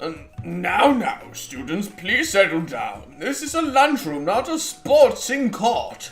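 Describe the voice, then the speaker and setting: A man puts on a character voice at an extremely high pitch and a fairly slow pace. Faint music plays in the background. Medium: game stream. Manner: apologetic, rambling.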